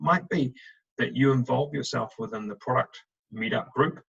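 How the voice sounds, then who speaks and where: This man talks at a very fast pace with lively intonation and a medium pitch. The sound is dry and close, with no echo. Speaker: recruitment director. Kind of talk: webinar presentation. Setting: video call.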